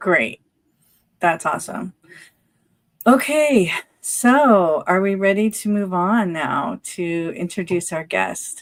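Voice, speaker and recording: At a very slow pace with long, frequent pauses, a woman of medium pitch speaks with lively intonation. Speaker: live stream co-host. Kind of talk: casual chat.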